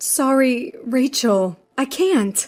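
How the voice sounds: A woman puts on a character voice, pitched high. She speaks very slowly with lively intonation.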